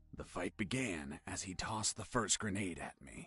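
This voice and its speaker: A man's put-on character voice, fairly low in pitch, with lively intonation at a moderate pace and a dry, close sound with no echo. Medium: machinima. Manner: gruff, boastful.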